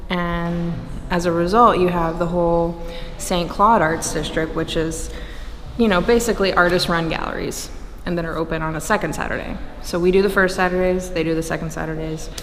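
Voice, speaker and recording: Over noticeable background noise and audible room echo, a woman talks fairly quickly in a fairly low, flat monotone. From Louisiana, New Orleans area. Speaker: arts organizer. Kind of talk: interview. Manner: casual, with fillers.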